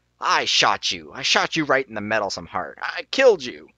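A man growls in a put-on character voice at a medium pitch, on a very clean recording with a silent background. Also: moderate pace.

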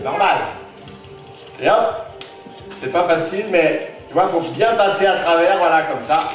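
A man at a very slow pace, with audible room echo and clear music in the background. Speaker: clown and magician. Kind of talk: live children's magic show patter. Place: hall. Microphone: camera far.

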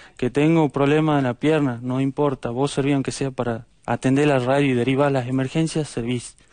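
Speaking at a moderate pace with hardly any pauses, a man holds a medium pitch in a monotone, flat intonation. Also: very even loudness. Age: 20s. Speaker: volunteer firefighter. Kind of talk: TV interview.

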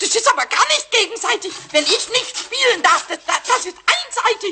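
A man's put-on character voice at an extremely high pitch and a moderate pace. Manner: excited, stammering.

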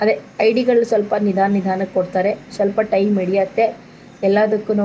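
Noticeable background noise sits behind a voice with monotone, flat intonation. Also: woman. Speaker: vlogger and village service centre owner. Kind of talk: informational vlog.

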